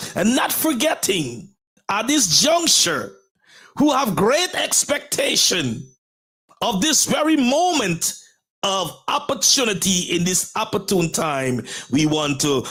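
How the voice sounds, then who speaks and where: The speaker has a Guyanese accent and a fairly slow pace. The pitch swings very widely. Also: man. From Guyana. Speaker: pastor and motivational show host. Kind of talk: motivational talk show monologue. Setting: live stream. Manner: formal, repetitive rhetorical phrasing.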